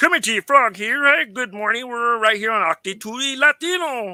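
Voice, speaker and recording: In a put-on character voice pitched extremely high for a man, he speaks at a moderate pace on a very clean recording with a silent background. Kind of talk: radio host greeting.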